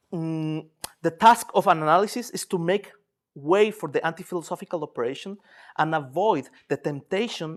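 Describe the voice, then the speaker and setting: A man with a Spanish accent speaks at a high pitch. The recording is very clean, with a silent background. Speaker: psychoanalyst lecturer. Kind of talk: lecture. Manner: halting, many repetitions and fillers.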